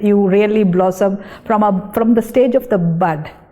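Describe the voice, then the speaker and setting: Noticeable background noise runs under this clip. A woman with a Tamil accent speaks at a fairly slow pace with ordinary pitch variation. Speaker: dietitian. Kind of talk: interview testimony.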